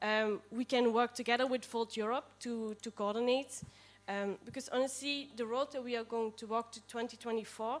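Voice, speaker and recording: A woman talks with a Limburg accent at a moderate pace. Her pitch is fairly high, and her intonation is monotone and flat. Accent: Dutch (Limburg) accent in English. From Netherlands, near Maastricht. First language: Dutch. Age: 20s. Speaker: political party candidate. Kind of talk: candidate speech at assembly. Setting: assembly room with livestream. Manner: hesitant, many fillers.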